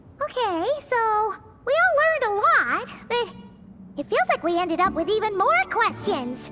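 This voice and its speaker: A cartoonish character voice at an extremely high pitch moves at a moderate pace. Loud music plays in the background. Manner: lively, exasperated.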